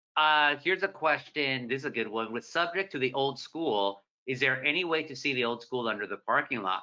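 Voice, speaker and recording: A man speaks at a fairly quick pace. His pitch is medium, with ordinary variation. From Southern California, Orange County. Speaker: newspaper columnist and moderator. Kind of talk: moderated author conversation. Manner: fast; animated.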